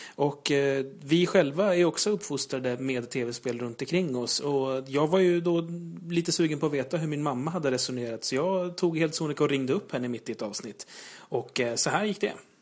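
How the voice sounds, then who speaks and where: A man with a fairly high pitch and ordinary pitch variation speaks at a moderate pace in a normal speaking voice. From Sweden, Uppsala. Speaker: gaming podcast host. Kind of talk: casual chat.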